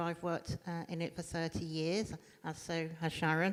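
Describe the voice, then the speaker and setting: A woman's fairly low voice in a British accent. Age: 60s. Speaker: domestic abuse trainer. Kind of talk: panel talk.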